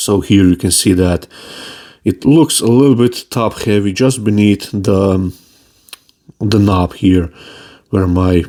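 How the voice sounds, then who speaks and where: This man has a very deep, low pitch and a dark, mellow tone, and he speaks at a fairly slow pace. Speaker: woodturner. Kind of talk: tutorial.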